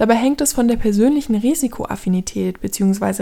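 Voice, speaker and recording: With a dark, mellow tone and ordinary pitch variation, a woman speaks at a moderate pace in a very clean recording with a silent background. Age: 30s. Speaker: podcast host. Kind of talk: scripted narration.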